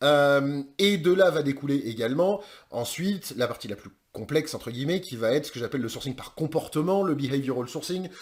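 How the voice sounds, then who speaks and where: There are big swings in loudness as a man talks at a fairly quick pace with ordinary pitch variation. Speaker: online course trainer in recruitment sourcing. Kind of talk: course introduction. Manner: fast; casual, with many hesitations.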